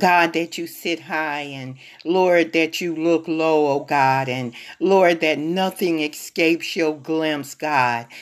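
A woman's very deep, low voice at a very slow pace with fairly even intonation, on a very clean recording with a silent background. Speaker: prayer leader. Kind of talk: fervent prayer. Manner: fervent, pleading, repetitive, with frequent 'oh God' interjections; slow, measured, pausing, reverent.

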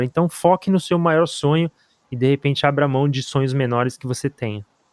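A man with an unremarkable speaking voice talks at a moderate pace, his fairly high pitch held in a fairly even intonation, with a dry, close sound and no echo. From Brazil. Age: 30s. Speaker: podcast co-host. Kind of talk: interview.

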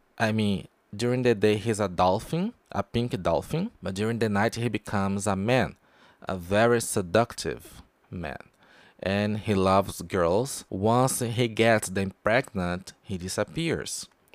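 Speaking at a fairly slow pace with a Portuguese accent, a man with a fairly low pitch and ordinary pitch variation is captured in a very clean recording with a silent background. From Brazil. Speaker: podcast host, pop culture reviewer. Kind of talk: casual review monologue. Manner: halting, with fillers.

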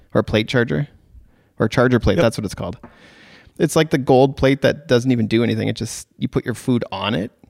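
In a Canadian accent, a man speaks at a very fast pace with vocal fry and ordinary pitch variation. The sound is dry and close, with no echo. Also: medium pitch for a man. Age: 30s. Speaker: podcast host and wedding photographer. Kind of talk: casual interview.

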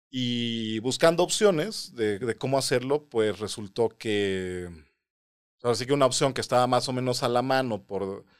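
Recorded very cleanly against a silent background, a man speaks at a fairly slow pace with ordinary pitch variation. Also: medium pitch for a man. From Mexico City. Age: 30s. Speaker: composer and mathematician. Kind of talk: interview. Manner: halting.

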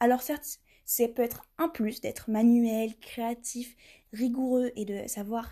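A woman speaks very slowly in a high, dark, mellow voice. The recording is very clean, with a silent background. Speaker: podcast host. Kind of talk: interview. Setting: busy trade fair stand.

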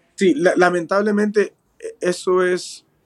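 A man is talking. His pace is very slow. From Peru, moved to California at 10. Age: 40s. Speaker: professional bare-knuckle boxer. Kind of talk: interview.

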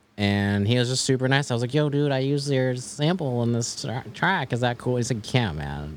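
With a Mid-Atlantic accent, a man speaks at a medium pitch and a fairly quick pace. His intonation is lively, and he hardly pauses. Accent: American, Mid-Atlantic. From US, Maryland suburbs. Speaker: music producer. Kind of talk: casual interview.

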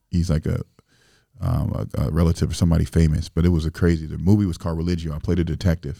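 A man with an American accent talks at a very fast pace. His very deep, low voice has a dark, mellow tone. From Springfield, Illinois. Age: 30s. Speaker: rapper and entrepreneur. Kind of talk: casual chat.

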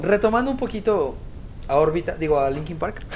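At a moderate pace, a woman with a Mexican accent speaks in an animated tone, her pitch swinging very widely. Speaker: podcast co-host. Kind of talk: casual chat.

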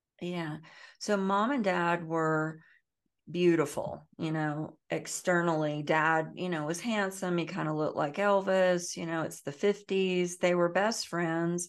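Against a quiet background, a woman with an American accent talks at a fairly slow pace. She has an unremarkable speaking voice, a fairly low pitch, and fairly even intonation. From US South. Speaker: trauma healing educator and author. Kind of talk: interview.

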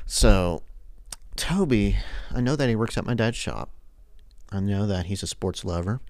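This man speaks with a fairly low pitch and ordinary pitch variation, leaving long, frequent pauses. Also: moderate pace. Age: 20s. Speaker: sports podcaster and college student. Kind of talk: casual solo podcast monologue. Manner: hesitant, many fillers.

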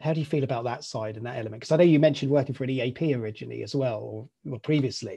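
Speaking at a very fast pace with hardly any pauses, a man with a British accent uses medium pitch, ordinary pitch variation and vocal fry. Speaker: podcast host. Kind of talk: casual interview chat.

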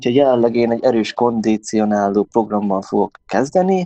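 His dark, mellow tone sits at a medium pitch as this man speaks at a moderate pace with ordinary pitch variation. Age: 20s. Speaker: volleyball player and sports store employee. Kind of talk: interview.

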